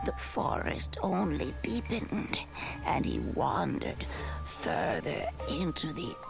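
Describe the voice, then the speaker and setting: A put-on character voice whispers at a fairly slow pace. Loud music plays in the background. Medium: game stream. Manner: kind, theatrical storyteller.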